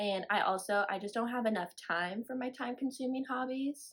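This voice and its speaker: Speaking at a moderate pace, a woman has a fairly high pitch and a slight Southern US accent. The recording is very clean with a silent background. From Florida. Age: 20s. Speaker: knitting podcaster. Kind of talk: casual chat. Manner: rambling, casual with fillers.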